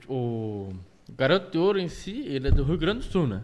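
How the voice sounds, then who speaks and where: The man's intonation is lively. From Curitiba, Brazil. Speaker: podcast host. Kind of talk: casual chat. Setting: studio.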